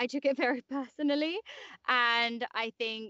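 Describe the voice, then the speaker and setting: A woman speaks with a London accent. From England, West London. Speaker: actor and voiceover artist. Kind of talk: interview conversation.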